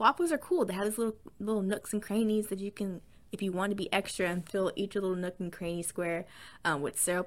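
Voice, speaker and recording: Speaking very fast in an animated, excited tone, a woman with an American accent uses a medium pitch. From US South. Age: 20s. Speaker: podcaster. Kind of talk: casual chat, solo podcast.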